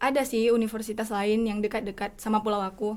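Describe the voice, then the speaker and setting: A woman's ordinary speaking voice, fairly high in pitch, at a fairly quick pace. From Simeulue island, Aceh. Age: young. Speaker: university student. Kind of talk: casual chat.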